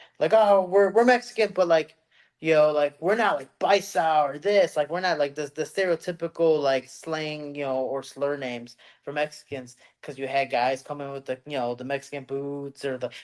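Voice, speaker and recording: A man with a Chicago accent talks at a moderate pace and a fairly high pitch. His pitch varies in an ordinary way, while his loudness swings widely. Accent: Chicago American English. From Chicago, US. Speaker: MMA fighter. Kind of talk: casual chat. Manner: animated.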